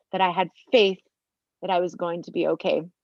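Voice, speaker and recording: In a Utah accent, a woman speaks at a medium pitch. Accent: Utah American English. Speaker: mother sharing life story. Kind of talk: testimony.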